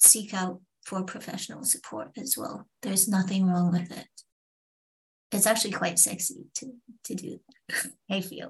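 Somewhat breathy and with a British accent, a woman speaks at medium pitch and a fairly slow pace, leaving long, frequent pauses. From England. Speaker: confidence coach. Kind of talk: interview.

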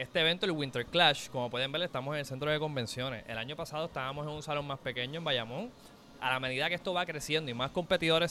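Speech comes very fast from a man whose pitch is fairly high. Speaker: esports event organizer. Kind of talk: interview. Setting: convention center event.

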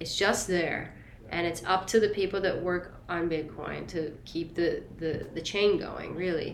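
A woman's fairly low-pitched voice at a fairly slow pace, with fairly even intonation and audible room echo. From Italy. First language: Italian. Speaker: singer-songwriter. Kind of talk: interview.

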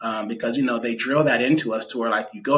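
Speaking with a Californian accent, a man has a medium pitch and a bright, sharp tone. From US West Coast, Stockton, California. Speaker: real estate agent and investor. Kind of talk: interview.

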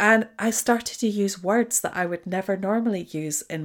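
A woman with a slight Scottish accent, medium pitch, ordinary pitch variation and a moderate pace. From Scotland. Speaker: podcast host, leadership coach. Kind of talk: solo monologue podcast, conversational. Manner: reflective, conversational.

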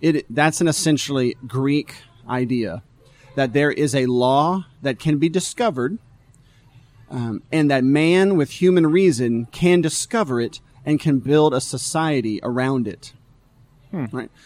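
Speaking at a fairly slow pace, a man with an ordinary speaking voice has a fairly high pitch and ordinary pitch variation. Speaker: pastor. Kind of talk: casual talk show chat. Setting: live stream.

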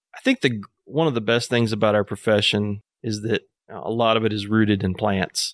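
Fairly quick and fairly even in intonation, a man with an American accent speaks at a fairly low pitch in a normal speaking voice, with a dry, close sound and no echo. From Northwest Arkansas, US South. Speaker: landscape architect. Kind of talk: casual interview chat. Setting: outdoors on a back deck.

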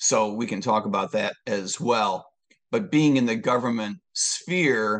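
At a fairly slow pace and over a quiet background comes a plain, everyday voice. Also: man. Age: 60s. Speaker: presidential candidate, former police officer and economist. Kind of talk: interview.

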